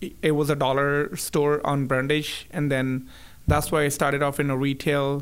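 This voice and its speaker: With a Punjabi accent, a man speaks at a moderate pace in a fairly high pitch, with monotone, flat intonation and very even loudness. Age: 30s. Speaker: business owner. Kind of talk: casual interview.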